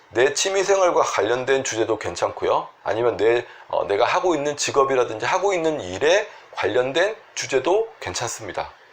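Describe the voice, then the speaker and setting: Using vocal fry, a man with a fairly high pitch speaks at a moderate pace, his pitch swinging very widely. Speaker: Korean medicine doctor treating sleep disorders. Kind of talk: health advice talk to camera.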